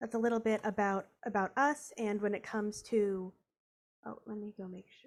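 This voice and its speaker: A woman with an American accent talks at a moderate pace and fairly high pitch, her intonation fairly even, in a very clean recording with a silent background. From US Northeast. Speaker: program manager and science teacher. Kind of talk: workshop presentation. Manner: halting, many fillers.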